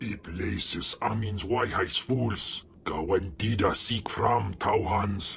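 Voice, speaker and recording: Using a put-on character voice, a man speaks at a fairly slow pace and a fairly low pitch over clear background noise. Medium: video game. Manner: guttural, speaks alien language.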